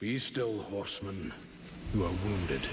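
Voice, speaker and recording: A man adopts a put-on character voice pitched fairly low. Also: moderate pace. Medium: video game. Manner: slow, solemn, gravelly elder.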